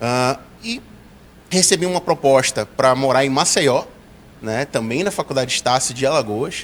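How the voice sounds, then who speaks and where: At a moderate pace, a man speaks in an ordinary speaking voice of medium pitch with ordinary pitch variation. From Brazil, Pará (Belém). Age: 30s. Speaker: university director. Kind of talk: interview.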